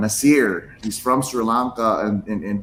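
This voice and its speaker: The man's voice is fairly low in pitch. His intonation stays fairly even. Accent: Filipino. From Philippines. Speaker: podcast co-host. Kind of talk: casual chat.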